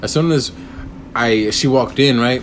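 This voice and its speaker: With audible room echo and noticeable background noise, a man of medium pitch speaks at a moderate pace with ordinary pitch variation. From Texas, Corpus Christi. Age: 20s. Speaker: podcast host. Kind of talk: casual chat.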